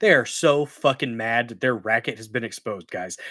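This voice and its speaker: The recording is very clean, with a silent background. In it, a man with an American accent talks at a moderate speed. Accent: country redneck. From Missouri. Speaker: political commentary streamer. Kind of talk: live stream commentary. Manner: angry profane ranting.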